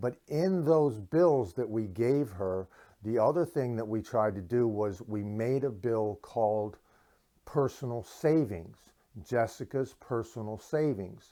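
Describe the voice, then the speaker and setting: The recording is very clean, with a silent background. A man speaks at a fairly slow pace and medium pitch, with a dark, mellow tone and ordinary pitch variation. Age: 60s. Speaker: inventor sharing parenting advice. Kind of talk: casual monologue to camera. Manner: halting, many fillers.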